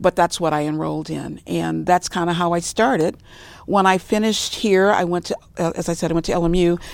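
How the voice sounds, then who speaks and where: A woman's unremarkable speaking voice, fairly low in pitch, with an American accent, fairly even intonation and a fairly quick pace. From Los Angeles, California. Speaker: gerontologist, senior care manager. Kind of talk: interview.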